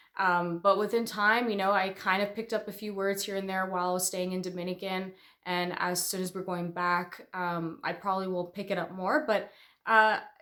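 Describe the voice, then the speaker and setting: With a Canadian accent, a woman at medium pitch speaks in a bright, sharp tone with monotone, flat intonation. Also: moderate pace. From Canada. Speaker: real estate agent. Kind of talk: casual chat.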